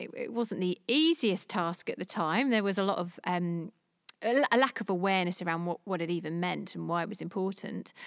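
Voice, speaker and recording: In a London accent, a woman talks at a fairly quick pace with ordinary pitch variation, the sound dry and close with no echo. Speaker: diversity network founder. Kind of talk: interview. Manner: halting, many repetitions.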